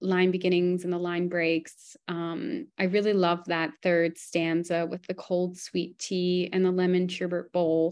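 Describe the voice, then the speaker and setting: Over a quiet background, a woman talks fairly slowly at a medium pitch in an ordinary speaking voice. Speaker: poetry editor.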